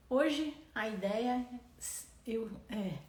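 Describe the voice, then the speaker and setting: A woman with ordinary pitch variation, plus audible room echo and noticeable background noise. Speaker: doctor and parenting educator. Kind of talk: live stream Q&A. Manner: halting, repeats words.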